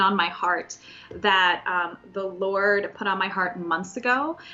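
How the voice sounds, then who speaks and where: A woman speaks in a normal speaking voice. Her pitch sits in the medium range. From Soviet Union, raised in US from age 4. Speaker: Bible study teacher. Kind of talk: Bible teaching.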